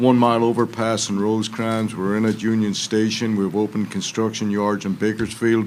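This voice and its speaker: A man with a fairly low pitch talks at a fairly quick pace, noticeable background noise around him. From Ireland. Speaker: rail project official. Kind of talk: congressional hearing testimony. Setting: field hearing.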